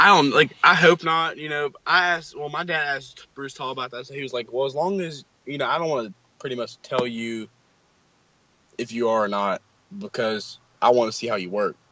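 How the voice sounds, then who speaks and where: Using a normal speaking voice with a fairly high pitch, a man talks at a fairly quick pace with lively intonation and big swings in loudness. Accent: American. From West Virginia. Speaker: college football recruit. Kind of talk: casual interview. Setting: video call.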